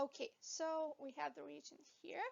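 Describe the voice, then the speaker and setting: Her pace is very slow. The woman speaking has a non-native accent. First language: not English. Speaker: veterinary anatomy educator. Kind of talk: lecture. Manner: hesitant, with fillers.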